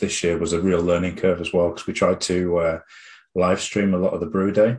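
A man's very deep, low voice with a British accent, at a moderate pace over a quiet background. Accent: UK English. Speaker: head brewer. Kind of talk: casual interview chat.

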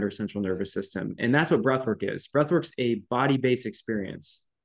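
Here a man speaks in a normal speaking voice. His pitch is medium, with ordinary variation. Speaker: naturopathic doctor and breathwork teacher. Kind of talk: casual interview chat.

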